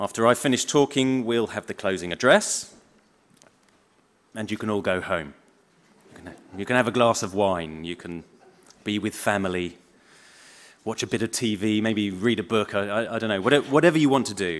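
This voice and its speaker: With long, frequent pauses, a man speaks at a moderate pace in a fairly low pitch with ordinary pitch variation. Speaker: historian giving a closing lecture. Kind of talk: lecture. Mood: solemn, with a light touch. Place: hall. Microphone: podium.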